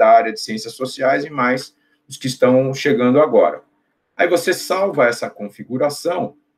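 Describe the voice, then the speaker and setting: A plain, everyday voice: a man at a fairly high pitch, moderate pace, and ordinary pitch variation. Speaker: professor. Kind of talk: lecture. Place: home room. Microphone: webcam.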